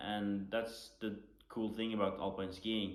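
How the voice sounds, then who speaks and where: Audible room echo follows a man who speaks fairly slowly with a Norwegian accent. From western Norway. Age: 20s. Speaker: Paralympic skier. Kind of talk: panel talk.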